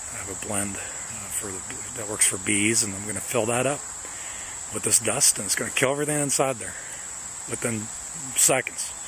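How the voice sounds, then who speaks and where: At a moderate pace, a man speaks with long, frequent pauses, big swings in loudness and ordinary pitch variation over noticeable background noise. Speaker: pest control technician. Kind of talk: on-the-job demonstration. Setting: outdoors in a yard. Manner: quiet, low voice; halting, many fillers.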